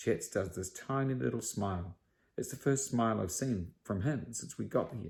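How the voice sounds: The voice reads a text aloud. It sounds natural.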